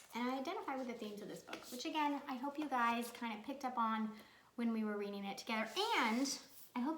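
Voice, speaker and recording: Speaking very fast, a woman uses a fairly high voice with ordinary pitch variation. There is audible room echo and noticeable background noise. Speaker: children's book author. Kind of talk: video talk to children. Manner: loud; chatty.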